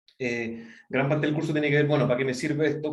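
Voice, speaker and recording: Audible room echo surrounds a man with a Chilean accent and fairly even intonation. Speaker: university professor. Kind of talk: online lecture. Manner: fast; many fillers and self-corrections.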